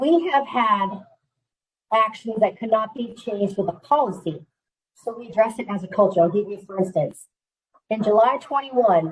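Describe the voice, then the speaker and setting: The speech moves at a moderate pace with ordinary pitch variation. The loudness swings widely. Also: woman, fairly high pitch for a woman. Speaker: Air Force civilian employee, panelist. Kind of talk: panel discussion.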